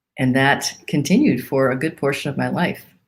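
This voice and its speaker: This woman's pitch is very deep and low. She talks at a moderate pace. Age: 60s. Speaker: pastor. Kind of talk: sermon.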